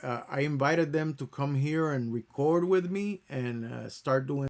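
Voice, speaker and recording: A man with a Puerto Rican accent speaks at a fairly slow pace, his pitch fairly high and its variation ordinary. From Puerto Rico. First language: Spanish. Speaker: YouTuber, music producer. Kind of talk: casual talk to camera. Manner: slow, halting; stutters when overthinking.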